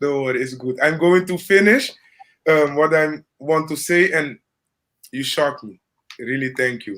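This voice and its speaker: Speaking at a moderate pace with a Dutch Caribbean accent, a man with a fairly high pitch leaves long, frequent pauses and swings widely in loudness. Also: ordinary pitch variation. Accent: Dutch-Caribbean accent with rolled R's. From Caribbean, Curacao. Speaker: live stream host. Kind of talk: casual chat.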